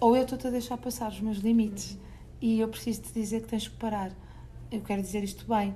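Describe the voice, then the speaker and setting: Speaking with a European Portuguese accent, a woman talks fairly quickly in a flat monotone at a fairly high pitch, with audible room echo. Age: 40s. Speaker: parenting educator and author. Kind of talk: interview.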